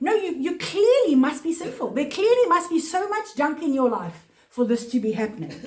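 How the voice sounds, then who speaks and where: A woman talks at a fairly quick pace, her pitch swinging very widely, over noticeable background noise. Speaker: Bible teacher. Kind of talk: Bible study teaching. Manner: fast; halting.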